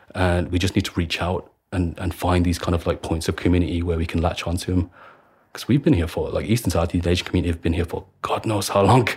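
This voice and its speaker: Speaking very fast with a Birmingham accent, a man uses a very deep, low pitch that is somewhat breathy, with fairly even intonation. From Birmingham, England (Handsworth). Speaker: activist, student and former soldier. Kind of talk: interview.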